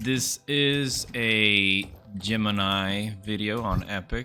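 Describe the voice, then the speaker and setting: With music playing in the background, a man with a non-native accent speaks in a fairly low pitch with ordinary pitch variation. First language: not English. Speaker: gaming YouTuber. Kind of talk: gameplay guide commentary. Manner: casual, with frequent fillers and hesitations.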